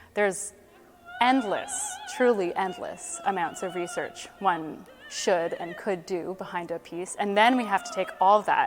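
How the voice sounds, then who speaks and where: A woman with a Canadian accent speaks at a fairly slow pace with lively intonation, over noticeable background noise. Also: medium pitch for a woman. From Canada, Ottawa. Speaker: opera singer. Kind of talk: interview.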